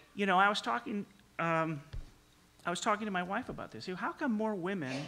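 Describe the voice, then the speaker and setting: A man with a high pitch and a bright, sharp tone talks at a fairly quick pace. He takes long, frequent pauses in a very clean recording with a silent background. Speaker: sports television executive. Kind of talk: panel discussion. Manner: soft-spoken; halting.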